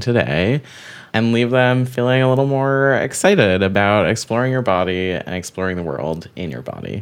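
A man speaks at a medium pitch and a fairly slow pace, with lively intonation. It is an ordinary speaking voice. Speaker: associate producer. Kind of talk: casual co-curator discussion.

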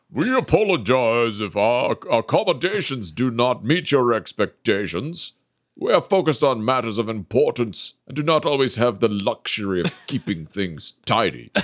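In a put-on character voice, a man speaks at a moderate pace with hardly any pauses. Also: medium pitch for a man. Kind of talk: formal fantasy speech. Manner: polite, formal, apologetic then grateful.

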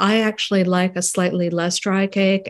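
A woman at medium pitch against a quiet background. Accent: American. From New York, London and Paris. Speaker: food writer and screenwriter. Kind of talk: radio interview. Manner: halting, many fillers and repeats.

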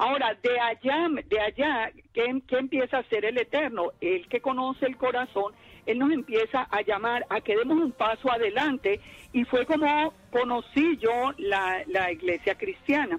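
Her high-pitched voice moves with lively intonation at a fairly slow pace, its loudness very even throughout. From Colombia, Armenia. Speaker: Torah teacher and clinical psychologist. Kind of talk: radio interview, testimony.

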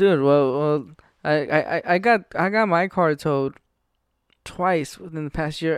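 In a very clean recording with a silent background, a man with an ordinary speaking voice talks fairly slowly at a fairly high pitch, his pitch variation ordinary. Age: 20s. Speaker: stand-up comedian. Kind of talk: casual chat.

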